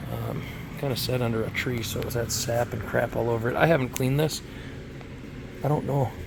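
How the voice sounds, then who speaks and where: A man with a medium-pitched voice speaks in a fairly even intonation over noticeable background noise. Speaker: car restoration youtuber. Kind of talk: casual video walkthrough. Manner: casual, hesitant with fillers.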